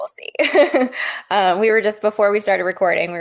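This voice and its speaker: In a normal speaking voice with an American accent, a woman talks at a moderate pace, her fairly high pitch carrying lively intonation. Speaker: podcast host.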